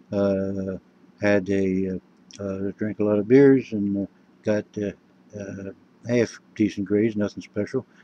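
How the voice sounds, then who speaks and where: A man with an American accent speaks fairly slowly, his fairly low pitch carried by a dark, mellow tone and monotone, flat intonation. Long, frequent pauses break his speech, and the sound is dry and close with no echo. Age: 60s. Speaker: vlogger. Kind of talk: personal monologue. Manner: halting, many fillers.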